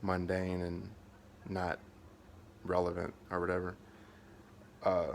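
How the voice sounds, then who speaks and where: A man with an American accent talks at a very deep, low pitch in a monotone, flat intonation. His pace is fairly slow, with long, frequent pauses. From Kentucky. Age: 30s. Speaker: vlogger fundraising for surgery. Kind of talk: personal video update, venting. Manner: flat, limited intonation due to pain; halting, many fillers and restarts.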